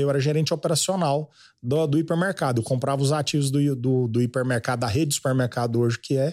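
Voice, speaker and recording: In a very clean recording with a silent background, a man speaks with a rural Goiás accent. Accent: Goiás rural Brazilian Portuguese. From Goiás (Goiânia). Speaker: agribusiness influencer. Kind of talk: casual chat.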